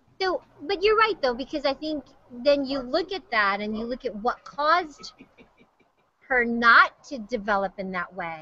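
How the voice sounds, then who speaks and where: A woman with a high pitch projects a raised voice at a fairly slow pace, her tone bright and sharp. Her pitch swings very widely and her loudness shifts a lot, all in a dry sound with no echo. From Hawaii. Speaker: TV news host; news host. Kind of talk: casual chat. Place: office. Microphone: webcam.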